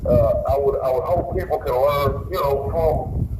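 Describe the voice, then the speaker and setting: A man speaks at a moderate pace with a Louisiana accent. Audible room echo and noticeable background noise surround his voice. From Louisiana, Baton Rouge. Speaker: pretrial detainee calling in. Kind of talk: phone call-in talk. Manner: halting, repeats words.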